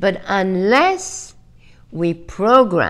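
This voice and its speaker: A woman speaks against a quiet background. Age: 70s. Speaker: fashion designer and author. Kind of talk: interview answer. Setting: video call. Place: home room.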